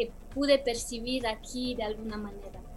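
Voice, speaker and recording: A high-pitched woman with a Romanian accent over noticeable background noise. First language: Romanian (speaking Spanish). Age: 40s. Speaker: film director. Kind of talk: interview. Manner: halting.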